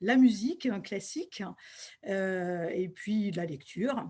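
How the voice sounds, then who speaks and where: Somewhat breathy and dark, mellow in tone, a woman of medium pitch talks at a very slow pace over a quiet background. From western France, Deux-Sèvres. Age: 60s. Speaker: school principal and local candidate. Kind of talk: self-presentation. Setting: video call from her office. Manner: hesitant, frequent fillers.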